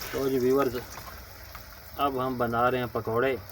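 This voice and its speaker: Noticeable background noise sits behind a man speaking. His Punjabi accent comes with a monotone, flat intonation. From Punjab, Pakistan. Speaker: cooking channel host. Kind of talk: cooking tutorial.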